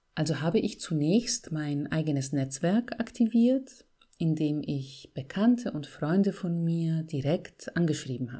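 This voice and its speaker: Speaking slowly with a Bavarian accent, a woman with a dark, mellow, somewhat breathy tone moves through very wide pitch swings. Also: fairly low pitch for a woman. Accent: Bavarian, rolled R. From Bavaria, Greek family. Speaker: podcast host and author. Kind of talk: solo podcast monologue. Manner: trained clear diction.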